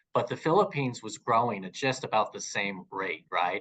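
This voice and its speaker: An American-accented man with an unremarkable speaking voice talks at a fairly quick pace with ordinary pitch variation. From California. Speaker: commercial real estate broker. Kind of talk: interview.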